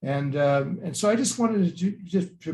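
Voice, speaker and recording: The voice is somewhat breathy, with a dark, mellow tone. It moves at a moderate pace. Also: man. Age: 70s. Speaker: archbishop. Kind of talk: lecture.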